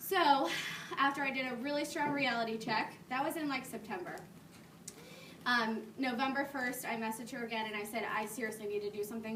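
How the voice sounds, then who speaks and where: A woman with a fairly high pitch speaks at a fairly quick pace. Audible room echo and noticeable background noise are present. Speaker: fitness coach. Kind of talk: talk to a live audience. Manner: mumbling; casual.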